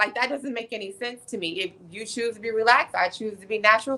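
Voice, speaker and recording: A woman's fairly high voice, animated, with a bright, sharp tone. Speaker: Air Force senior enlisted leader. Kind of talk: podcast interview. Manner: loud.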